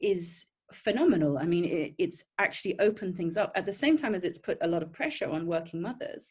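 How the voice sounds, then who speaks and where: Somewhat breathy and medium in pitch, a woman speaks fairly quickly with lively intonation and hardly any pauses. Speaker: writer and storyteller. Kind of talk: panel discussion on video call. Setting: video call. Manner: fast.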